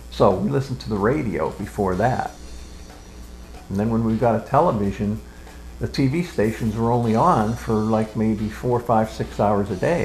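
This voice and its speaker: Over music in the background, a man talks at a moderate pace with a fairly low pitch and lively intonation. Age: 70s. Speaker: interviewee recalling childhood. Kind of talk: oral history interview.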